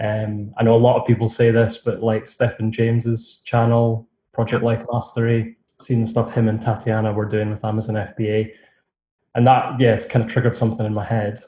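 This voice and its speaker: Over a quiet background, a man talks at a fairly quick pace and medium pitch in a dark, mellow, somewhat breathy tone. His intonation is monotone and flat. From Scotland, near Edinburgh. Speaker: online seller, course graduate. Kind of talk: interview.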